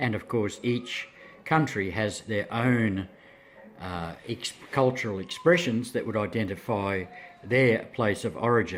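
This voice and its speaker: This man speaks with an Australian accent at a fairly slow pace. His pitch moves in an ordinary way. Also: medium pitch for a man. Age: 70s. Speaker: English as a second language teacher. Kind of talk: interview.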